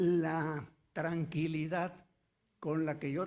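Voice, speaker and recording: A man talks at a high pitch. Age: 80s+. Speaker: notary. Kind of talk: audience comment.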